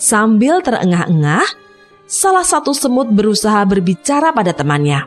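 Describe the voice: The clip consists of plain reading aloud.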